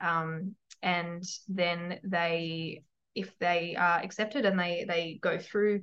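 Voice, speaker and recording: A woman's fairly low voice with fairly even intonation, against a quiet background. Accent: Australian. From rural New South Wales, Australia. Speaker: physiotherapist and clinic owner. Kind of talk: podcast interview.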